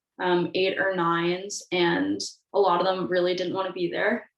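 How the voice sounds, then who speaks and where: A woman with a Canadian accent, medium-pitched, in a normal speaking voice, fairly slow and fairly even in intonation. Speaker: university student, outdoor club trip coordinator. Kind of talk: casual group discussion.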